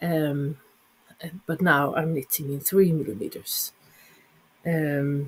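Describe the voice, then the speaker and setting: The speaker, with a Swedish accent, goes at a very slow pace with long, frequent pauses. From Sweden. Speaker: knitting vlogger. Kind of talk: casual vlog talk. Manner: halting, many fillers.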